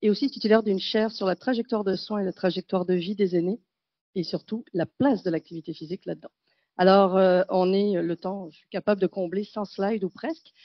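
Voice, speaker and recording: Her medium-pitched voice moves at a fairly quick pace with ordinary pitch variation and big swings in loudness. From France. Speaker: gerontology researcher and professor. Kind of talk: conference talk. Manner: fast; animated.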